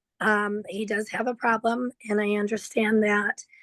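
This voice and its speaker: The delivery is fairly slow, monotone and flat. The sound is dry and close with no echo. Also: woman. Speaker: defendant's wife giving a statement. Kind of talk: court statement. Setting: video call into court hearing. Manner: hesitant, many fillers.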